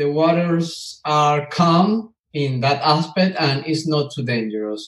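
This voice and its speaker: A very slow man's voice, fairly high in pitch, with ordinary pitch variation and hardly any pauses. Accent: Spanish. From Venezuela. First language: Spanish. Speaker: mechanical engineer and bitcoin miner. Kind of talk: interview. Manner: halting.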